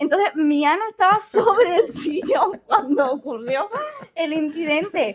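A woman speaks at an extremely high pitch with lively intonation. Her pace is fairly slow. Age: 30s. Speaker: podcast co-host. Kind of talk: casual chat. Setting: studio.

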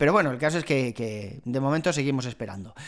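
Speaking fairly quickly, a man lets his pitch vary in an ordinary way.

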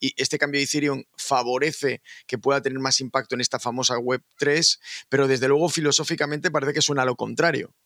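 On a very clean recording with a silent background and a dry, close sound with no echo, a man speaks at a very fast pace with a fairly high pitch. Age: 50s. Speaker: podcast host. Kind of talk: casual chat.

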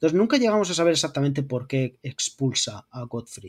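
This man's voice sits fairly high in pitch, on a very clean recording with a silent background. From Murcia, Spain. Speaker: art historian and YouTube lore creator. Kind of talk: casual chat.

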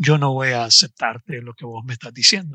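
Bright, sharp male tone, dry and close with no echo. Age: 40s. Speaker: life coach. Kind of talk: podcast interview.

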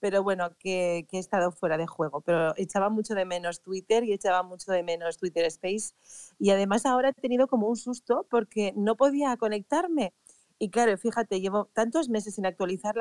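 With a dry, close sound and no echo, a woman talks at a fairly quick pace in a normal speaking voice at medium pitch. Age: 50s. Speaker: event organizer. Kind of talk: casual chat.

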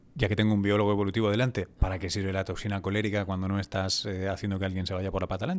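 With hardly any pauses, a man talks at a very fast pace in a fairly low pitch and a monotone, flat intonation. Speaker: podcast host and science journalist. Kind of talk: casual interview. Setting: hotel lobby before a flight.

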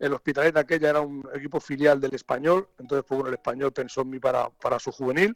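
Recorded with a dry, close sound and no echo, a man talks at a very fast pace in a fairly high pitch with fairly even intonation. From Catalonia. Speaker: football coach. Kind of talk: interview. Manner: halting.

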